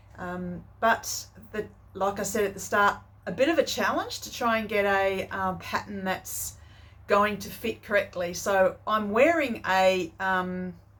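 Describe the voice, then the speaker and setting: A woman speaks fairly slowly in an Australian accent. Her pitch is medium, with ordinary variation. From country Western Australia. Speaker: sewing vlogger. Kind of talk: casual chat. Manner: hesitant, many fillers.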